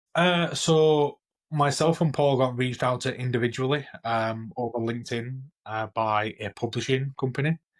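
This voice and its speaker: On a very clean recording with a silent background, a man with a Yorkshire accent talks at a moderate pace and medium pitch with ordinary pitch variation. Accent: broad Yorkshire. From Yorkshire, northern England. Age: 30s. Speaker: IT consultant and author. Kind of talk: casual interview.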